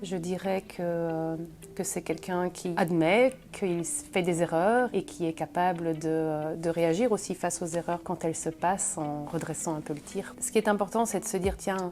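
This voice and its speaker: With a dark, mellow tone and fairly low pitch, a woman speaks at a fairly slow pace with ordinary pitch variation. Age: 40s. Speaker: finance director. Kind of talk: interview. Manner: hesitant, many fillers.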